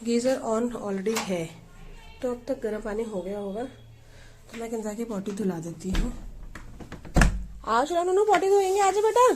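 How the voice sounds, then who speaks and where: A woman with a fairly high voice speaks with very wide pitch swings and long, frequent pauses. Noticeable background noise and audible room echo fill the recording. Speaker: family vlogger, mother. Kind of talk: casual home vlog narration. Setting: at home.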